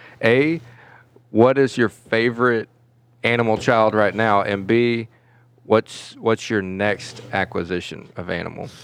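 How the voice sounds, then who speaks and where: A man with an unremarkable speaking voice talks at medium pitch. His pace is fairly slow and his intonation fairly even. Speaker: podcast co-host. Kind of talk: casual chat.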